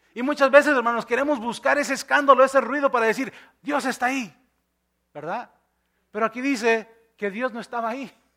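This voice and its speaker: A man with an extremely high pitch and a bright, sharp tone speaks in a raised, projected voice at a fairly quick pace, with ordinary pitch variation, big swings in loudness, and long, frequent pauses. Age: 40s. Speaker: pastor. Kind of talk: sermon. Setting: church.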